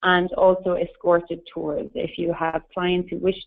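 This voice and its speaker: A woman is speaking. She has an Irish accent. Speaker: tour company representative. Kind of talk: webinar presentation. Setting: webinar.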